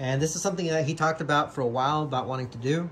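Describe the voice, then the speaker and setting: A man with a somewhat breathy voice talks over light background noise. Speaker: car vlogger. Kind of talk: casual vlog chat. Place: garage. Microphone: phone near.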